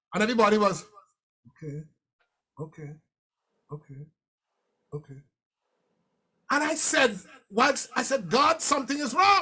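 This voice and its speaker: In a raised, projected voice with a bright, sharp, animated tone, this speaker swings very widely in pitch and greatly in loudness, leaving long, frequent pauses. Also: man, extremely high pitch for a man. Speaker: motivational speaker. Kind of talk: keynote speech. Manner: fast.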